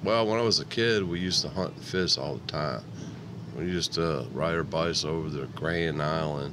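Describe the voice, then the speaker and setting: With an American accent, a man speaks at a moderate pace in a very deep, low voice with ordinary pitch variation, over noticeable background noise and audible room echo. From Upstate New York, Niagara Falls. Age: 60s. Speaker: public housing resident. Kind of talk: interview. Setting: radio studio.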